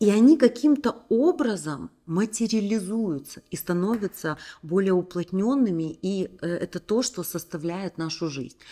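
Over a quiet background, a woman with a dark, mellow tone speaks at a fairly slow pace with lively intonation. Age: 40s. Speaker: women's coaching channel host. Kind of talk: motivational talk to camera. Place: home room. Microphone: studio mic.

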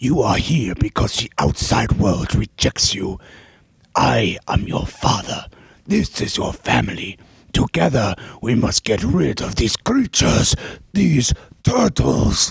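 A man does a put-on character voice at a fairly low pitch. He speaks at a fairly slow pace. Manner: solemn, commanding.

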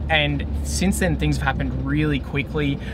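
A man talks at a moderate pace. Loud background noise runs under his voice. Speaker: vlogger. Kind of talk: casual vlog chat. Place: car. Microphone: phone near.

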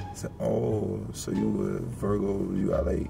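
A man talks in a fairly low pitch with an American accent. Noticeable background noise runs behind him. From Rochester, New York. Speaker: blind date participant on online video channel. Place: car.

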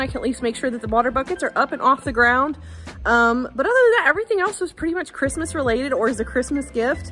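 Faint music sits behind a woman with a high voice. She talks very fast. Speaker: homesteader vlogger. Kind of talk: casual vlog chat. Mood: warm, upbeat. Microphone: phone near.

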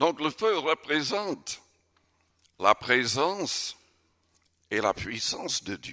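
Against a quiet background, a man with a fairly high, bright, sharp voice and vocal fry speaks very slowly, with very wide pitch swings and long, frequent pauses. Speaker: pastor. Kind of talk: sermon. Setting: church. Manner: earnest, forceful preaching with emphatic, urgent delivery. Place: church. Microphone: podium.

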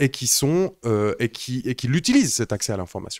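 A man's lively, fairly slow speech in a dry sound with no echo. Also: quiet background. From Switzerland. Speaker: live stream host. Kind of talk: casual chat. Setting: live stream studio. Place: home room. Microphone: handheld.

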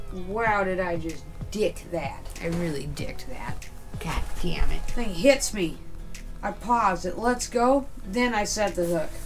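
The pace of this woman's speech is very slow. Behind her, music can be heard clearly. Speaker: fishing vlogger. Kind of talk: casual vlog chat. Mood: playful, joking. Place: tent. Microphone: camera far.

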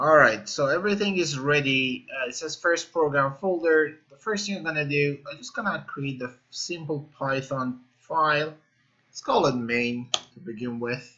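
A man at a moderate pace, ordinary pitch variation, big swings in loudness, quiet background. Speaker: programming instructor. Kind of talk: tutorial. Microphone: webcam.

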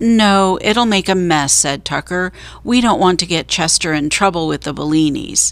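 The reading is delivered in an unforced voice.

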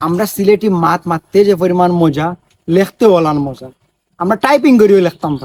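The speaker, with a Sylheti accent, shows big swings in loudness. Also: man, high pitch for a man, lively intonation. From Sylhet region, Bangladesh. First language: Sylheti (speaking Bengali). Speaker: social media video maker. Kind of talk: vlog monologue. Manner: animated.

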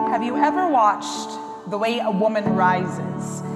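Clear music runs behind a woman as she talks. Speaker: spoken word poet. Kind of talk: spoken word poetry performance. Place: hall. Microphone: lapel.

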